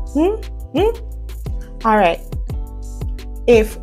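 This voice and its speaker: A woman speaks at a very slow pace. Faint music plays in the background. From Jamaica. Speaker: vlogger on heritage and dialect. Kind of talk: casual talk to camera. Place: home room. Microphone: lapel.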